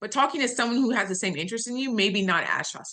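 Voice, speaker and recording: With an American accent, the speaker is a woman. She has a bright, sharp tone. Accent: Southern US accent, toned down online. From US South. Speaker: data analytics executive. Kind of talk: webinar talk. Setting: video call. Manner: clearly enunciated, newscaster-like; customer service voice.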